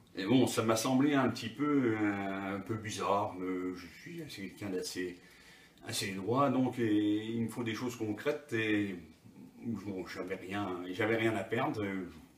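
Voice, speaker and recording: Over noticeable background noise and audible room echo, a man with a fairly low pitch speaks at a very slow pace with ordinary pitch variation. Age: 60s. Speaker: patient giving testimony. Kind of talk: interview testimony. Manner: halting, many hesitations.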